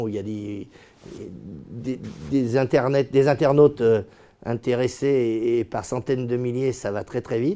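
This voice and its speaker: In a dark, mellow tone, a man speaks at medium pitch with ordinary pitch variation. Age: 50s. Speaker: property developer and company founder. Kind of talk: corporate interview monologue. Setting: company office. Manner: hesitant, many fillers and repetitions.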